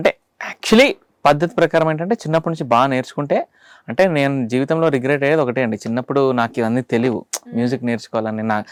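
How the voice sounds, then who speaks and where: The sound is dry and close with no echo as a man with a fairly high pitch speaks in a plain, everyday voice. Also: ordinary pitch variation. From Andhra Pradesh, Rayalaseema (Kurnool, Anantapur), later Hyderabad. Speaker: singer and film music composer. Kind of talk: casual interview.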